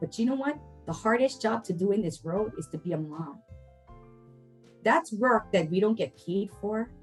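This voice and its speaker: Music plays in the background as the speaker moves at a moderate pace. The intonation is lively, with long, frequent pauses. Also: woman, medium pitch for a woman. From Hilo, Hawaii. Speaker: family advocate. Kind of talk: interview answer.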